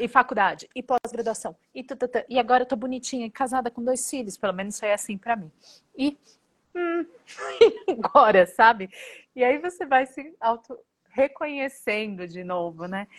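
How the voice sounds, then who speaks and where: Speaking high-pitched with lively intonation, a woman leaves long, frequent pauses and swings widely in loudness, in a dry, close sound with no echo. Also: moderate pace. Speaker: podcast co-host. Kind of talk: casual interview.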